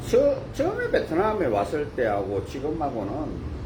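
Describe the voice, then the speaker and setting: A man speaks at a fairly slow pace, with noticeable background noise and audible room echo. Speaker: marriage broker. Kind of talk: live stream talk. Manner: casual, halting.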